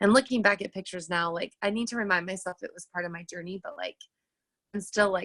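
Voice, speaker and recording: A woman speaks at a very fast pace with fairly even intonation and big swings in loudness. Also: medium pitch for a woman. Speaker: teacher and fitness coach. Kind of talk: personal testimony on a team call. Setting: group call. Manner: casual, filler-heavy.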